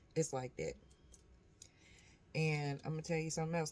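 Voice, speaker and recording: A soft-spoken woman talks with monotone, flat intonation. Noticeable background noise runs underneath. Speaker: vlogger. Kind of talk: casual vlog monologue. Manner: quiet, soft-spoken.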